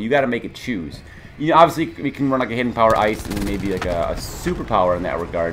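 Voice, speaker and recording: Over noticeable background noise, a man talks at a very fast pace and medium pitch with lively intonation. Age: 20s. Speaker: gaming YouTuber. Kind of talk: casual Q&A monologue. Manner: halting, many fillers.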